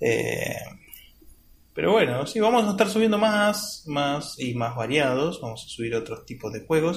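A man with an Argentine accent speaks at a moderate pace, his fairly high pitch making very wide swings. Audible room echo surrounds the voice. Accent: Rioplatense Argentine Spanish. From Argentina. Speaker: gaming podcast host. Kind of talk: casual chat.

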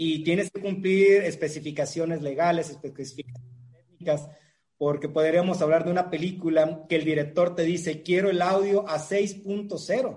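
Pitched high, a man speaks at a moderate pace. His intonation stays fairly even. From Mexico, La Paz, Baja California Sur. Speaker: cinema chain manager. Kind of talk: casual interview.

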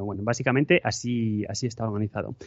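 Here is a man with a plain, everyday voice at medium pitch. He talks at a fairly quick pace with fairly even intonation. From Spain, Madrid. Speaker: podcaster. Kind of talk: casual interview chat.

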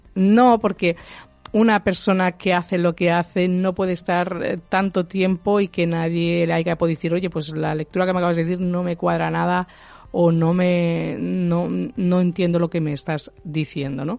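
A woman with a normal speaking voice keeps to a moderate pace. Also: fairly low pitch for a woman, fairly even intonation. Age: 40s. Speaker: medium. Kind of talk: radio interview.

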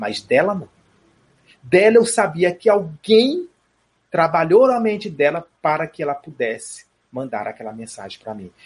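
The speaker talks at a fairly slow pace, with big swings in loudness, very wide pitch swings, and long, frequent pauses. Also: man, high pitch for a man. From Brazil, Piauí. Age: 40s. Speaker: spiritist speaker and theatre director. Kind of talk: interview on spirituality.

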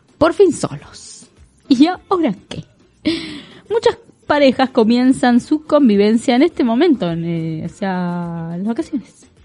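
With music in the background, a woman speaks fairly slowly in a high voice. Her pitch swings very widely, and her loudness shifts a great deal. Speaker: radio co-host. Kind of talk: casual radio chat with read-out segments.

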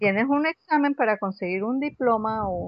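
Speaking in a plain, everyday voice, a woman keeps a fairly high pitch and a fairly slow pace. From Venezuela (Caracas), Colombian family. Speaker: astrologer and spiritual therapist. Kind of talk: casual interview.

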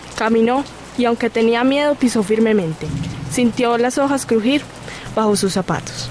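The speaker uses a solemn, theatrical tone at a moderate pace, with long, frequent pauses and ordinary pitch variation. Loudness stays very even over noticeable background noise. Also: woman, fairly high pitch for a woman. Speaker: narrator. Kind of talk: dramatic narration of a fantasy tale, solemn and storytelling. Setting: studio. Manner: solemn, measured, theatrical.

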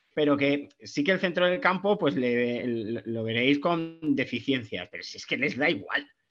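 A man talks at a moderate pace with lively intonation while music plays in the background. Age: 40s. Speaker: football podcast guest, wine enthusiast. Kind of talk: casual chat.

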